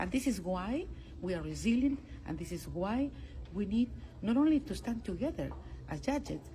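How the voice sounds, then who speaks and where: A woman with a Spanish accent at a moderate pace, with long, frequent pauses. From Peru. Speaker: international court judge. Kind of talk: interview. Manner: halting, with frequent fillers and repetitions.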